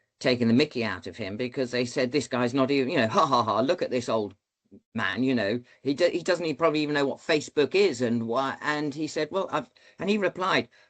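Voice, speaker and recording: With lively intonation, a man at a medium pitch talks at a fairly quick clip. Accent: British. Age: 60s. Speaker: former military pilot, leadership speaker. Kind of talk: podcast interview. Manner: halting.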